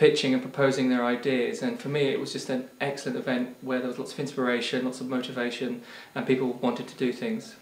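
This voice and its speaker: Audible room echo around a man's fairly quick delivery. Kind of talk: interview answer. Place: home room. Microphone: lapel.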